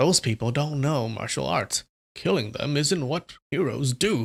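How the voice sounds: A man performs a put-on character voice. It sits fairly high and has lively intonation. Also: moderate pace.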